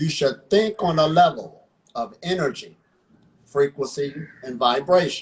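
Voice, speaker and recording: A man with an American accent speaks at a moderate pace in a fairly high pitch. His voice is somewhat breathy, with ordinary pitch variation. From Ohio, US. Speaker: breatharian practitioner. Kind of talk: interview.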